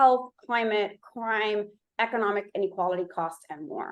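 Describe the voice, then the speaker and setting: A woman talks at a moderate pace. She has a slight Miami accent. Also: quiet background. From Miami, Florida. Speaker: urban data researcher and company founder. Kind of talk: conference presentation.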